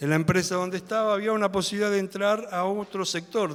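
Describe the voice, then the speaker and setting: A man with a Rioplatense accent talks very fast in a high pitch. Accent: Argentine Spanish (rioplatense). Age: 60s. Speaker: lay preacher. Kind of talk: sermon. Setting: church.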